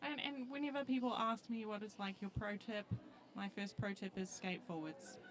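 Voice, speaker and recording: Lively intonation in a New Zealand accent, with noticeable background noise. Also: woman. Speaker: roller derby commentator. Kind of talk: live commentary.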